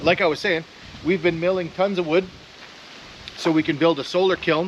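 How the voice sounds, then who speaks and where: With noticeable background noise behind him, a man talks at a moderate pace in a high pitch with monotone, flat intonation. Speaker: DIY woodworking YouTuber. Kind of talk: casual DIY vlog tutorial.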